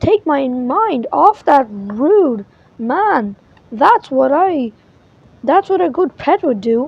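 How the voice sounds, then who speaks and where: Putting on a character voice, a woman speaks very slowly at a high pitch. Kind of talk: bedtime story. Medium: read story. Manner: bouncy, exclamatory.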